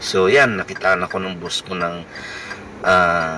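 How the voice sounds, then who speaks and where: A man speaks with a very deep, low pitch against noticeable background noise. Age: 50s. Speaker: vlogger and family driver. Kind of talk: personal vlog talk.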